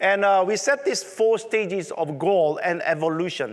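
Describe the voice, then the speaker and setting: A man with a strong Korean accent talks at a fairly slow pace. His pitch is high for a man, with ordinary variation. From South Korea. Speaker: tech conference presenter. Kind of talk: conference talk.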